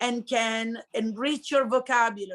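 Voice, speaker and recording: With an Italian accent, a woman talks in a high pitch with ordinary pitch variation. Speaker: high school language teacher. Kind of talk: interview.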